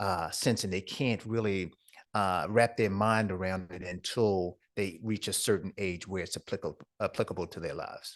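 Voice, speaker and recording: Against a quiet background, a man with a plain, everyday voice speaks at a moderate pace, keeping his fairly low pitch in fairly even intonation. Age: 60s. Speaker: entrepreneur and speaker. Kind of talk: interview.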